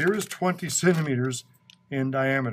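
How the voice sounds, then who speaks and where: Light background noise sits behind a man. He talks at a moderate pace. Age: 60s. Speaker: science educator visiting a school class. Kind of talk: classroom lesson for children. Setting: elementary school classroom. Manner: animated. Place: classroom.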